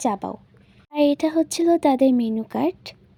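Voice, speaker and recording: A woman's dark, mellow voice with ordinary pitch variation, in a very clean recording with a silent background and a dry, close sound free of echo. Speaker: vlogger. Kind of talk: vlog voiceover narration.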